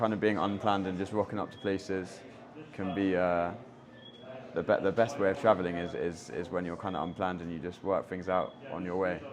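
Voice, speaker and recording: A man with a London accent talks at a fairly quick pace in a very deep, low voice. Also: fairly even intonation. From London, England. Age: 20s. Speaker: backpacker. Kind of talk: interview. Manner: hesitant, many fillers and repetitions.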